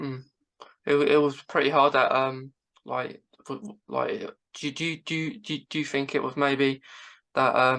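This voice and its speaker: With a British accent, a woman speaks in a very deep, low pitch, leaving long, frequent pauses. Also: fairly even intonation, fairly slow pace. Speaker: podcast host. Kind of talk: interview. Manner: halting.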